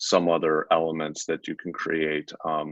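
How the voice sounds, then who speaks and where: A man's very deep, low pitch against a quiet background. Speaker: digital media strategist giving software demo. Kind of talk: tutorial. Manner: casual with frequent fillers.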